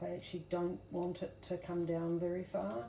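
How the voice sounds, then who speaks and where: A woman with a New Zealand accent talks at a fairly slow pace and fairly low pitch. Audible room echo and noticeable background noise are present. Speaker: craft tutorial creator. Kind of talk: tutorial. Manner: casual, with fillers and self-corrections.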